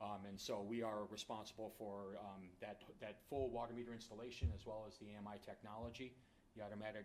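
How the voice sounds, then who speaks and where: The man's voice is fairly low in pitch. He speaks with flat, monotone intonation. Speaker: energy services contractor presenting to city commission. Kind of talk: presentation at public meeting. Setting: city commission meeting with audience. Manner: fast.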